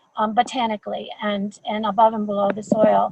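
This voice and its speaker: A woman's fairly high pitch with fairly even intonation at a moderate pace. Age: 60s. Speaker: school garden leader. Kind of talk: webinar talk. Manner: halting, many repetitions.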